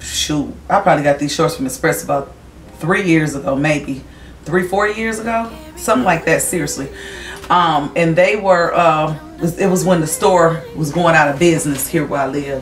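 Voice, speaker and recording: Faint music plays behind a woman with a fairly low pitch and ordinary pitch variation, her voice carrying audible room echo. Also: moderate pace. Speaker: vlogger. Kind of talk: casual vlog chat. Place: home room. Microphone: camera far.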